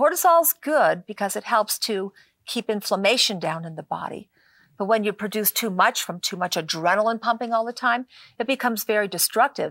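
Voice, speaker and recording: A woman's normal speaking voice at medium pitch and a moderate pace, in a very clean recording with a silent background and a dry, close sound with no echo. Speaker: natural medicine author. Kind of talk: talk show interview.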